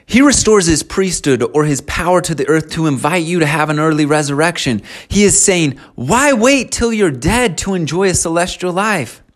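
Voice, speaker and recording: A man with a high pitch and lively intonation, at a moderate pace with hardly any pauses. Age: 40s. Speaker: religious podcast host. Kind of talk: scripture teaching monologue. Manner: casual and conversational.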